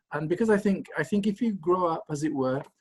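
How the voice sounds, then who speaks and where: A man with a Lancashire accent, lively intonation and a moderate pace. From northern England, Blackburn, Lancashire. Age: 70s. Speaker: anthropology professor. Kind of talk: interview. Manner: halting, many repetitions.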